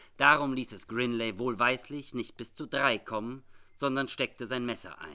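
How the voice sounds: The natural reading voice keeps its intonation fairly even.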